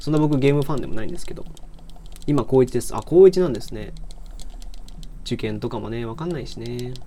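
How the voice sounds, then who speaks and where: A man with a dark, mellow tone and medium pitch talks at a very fast pace with ordinary pitch variation, long, frequent pauses and big swings in loudness. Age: 20s. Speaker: livestreamer and university student. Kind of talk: casual livestream chat while gaming. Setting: live audio stream while playing a game. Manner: relaxed, laid-back.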